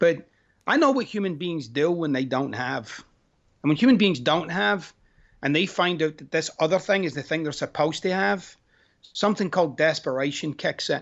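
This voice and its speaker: A man with a Glaswegian accent, fairly high-pitched, lively intonation and a moderate pace. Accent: Glaswegian Scottish. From Scotland, Glasgow. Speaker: life coach and author. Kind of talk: interview conversation. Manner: animated.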